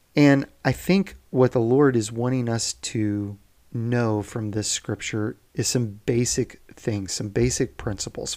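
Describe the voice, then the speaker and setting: Very slow male speech at medium pitch with ordinary pitch variation, in a very clean recording with a silent background. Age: 40s. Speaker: devotional preacher. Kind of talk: daily devotional talk. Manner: informal.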